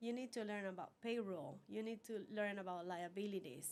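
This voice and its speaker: At a fairly quick pace, a woman speaks with a fairly high pitch and ordinary pitch variation amid noticeable background noise. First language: Spanish. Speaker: business owner. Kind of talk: interview.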